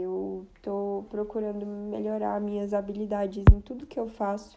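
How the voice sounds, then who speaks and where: A very slow, monotone delivery with flat intonation over music in the background. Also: woman. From Brazil, Brasília. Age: 20s. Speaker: podcast host. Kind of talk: casual personal monologue.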